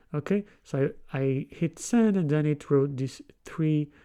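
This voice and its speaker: In a very clean recording with a silent background, a man with a non-native accent speaks at a fairly high pitch in a dark, mellow tone with ordinary pitch variation. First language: not English. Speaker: programming tutorial creator. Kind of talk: tutorial. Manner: hesitant, many fillers.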